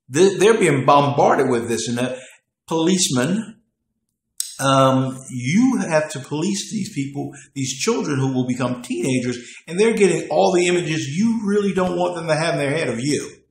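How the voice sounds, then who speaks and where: In an American accent, a man with fairly high pitch and lively intonation talks at a moderate pace amid audible room echo. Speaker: political commentator. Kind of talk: monologue commentary. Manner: halting.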